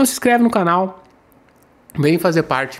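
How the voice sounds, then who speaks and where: Here a man is speaking. His intonation is lively. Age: 40s. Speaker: civil-service exam coach and news presenter; civil-service exam coach, news presenter. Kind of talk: daily news monologue to camera. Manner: animated. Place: home room. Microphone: studio mic.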